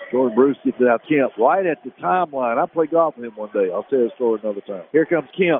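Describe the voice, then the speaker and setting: Over noticeable background noise, a man talks at a very fast pace. His pitch is fairly high and his intonation lively. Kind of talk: live high school basketball play-by-play commentary. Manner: loose, folksy, chatty between plays.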